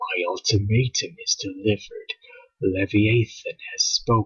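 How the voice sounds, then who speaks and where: Put-on character voice from a man, extremely high in pitch and fairly slow. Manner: commanding, grave.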